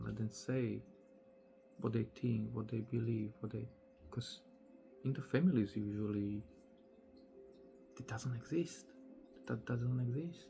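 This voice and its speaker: A man at a medium pitch, with music in the background. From Slovakia. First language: Slovak. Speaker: spiritual teacher. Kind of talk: casual monologue. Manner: slow, deliberate pace.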